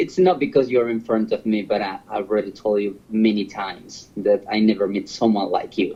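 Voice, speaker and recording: A man talks with a Spanish accent at a moderate pace. He leaves hardly any pauses. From Honduras. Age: 40s. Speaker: host's partner. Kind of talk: casual chat. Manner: halting.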